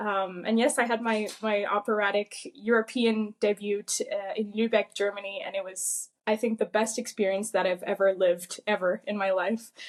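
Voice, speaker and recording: A woman with a Quebec French accent at a medium pitch, with monotone, flat intonation, a moderate pace, hardly any pauses and a dry, close sound with no echo. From Quebec, Gatineau. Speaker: opera singer. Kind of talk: interview.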